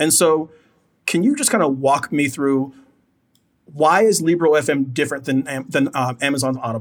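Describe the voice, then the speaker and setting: A man talks at a moderate pace with a fairly high pitch, ordinary pitch variation, and a plain, everyday voice. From United States. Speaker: podcast host. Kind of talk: casual chat.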